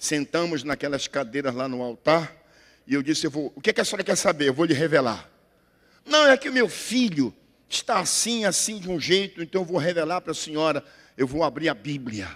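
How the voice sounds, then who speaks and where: A man's fairly high-pitched voice comes through on a very clean recording with a silent background. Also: lively intonation. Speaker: pastor. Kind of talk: sermon. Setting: church. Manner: loud.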